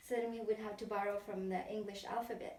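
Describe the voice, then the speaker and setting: A woman talks at a fairly high pitch with a slight Filipino accent. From Philippines. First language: Tagalog. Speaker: interviewee. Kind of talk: interview. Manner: halting.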